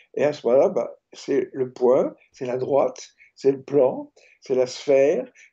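At a fairly slow pace, a man with a medium-pitched, dark, mellow tone and a slightly husky edge makes big pitch swings.

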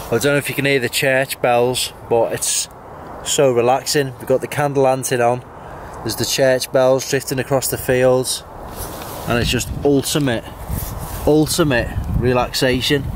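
A man at a moderate pace, with monotone, flat intonation and long, frequent pauses, in dry sound with no echo and light background noise. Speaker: outdoor vlogger. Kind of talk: casual vlog chat. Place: forest. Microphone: phone near.

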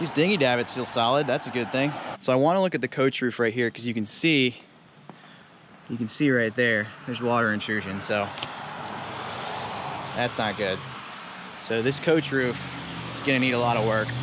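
A man talks at a fairly quick pace with ordinary pitch variation, the sound dry with no echo but with noticeable background noise. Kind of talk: casual vlog walkthrough. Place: open country. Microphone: phone near.

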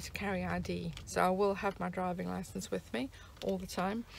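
A woman's voice, dry and free of any echo. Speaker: van traveller vlogger. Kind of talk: casual vlog chat. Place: car. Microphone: phone near.

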